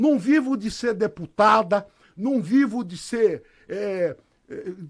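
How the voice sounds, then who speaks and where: An extremely high-pitched man with lively intonation. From Brazil, Catanduva (São Paulo state). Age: 60s. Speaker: lawyer and mayoral candidate. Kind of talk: radio interview.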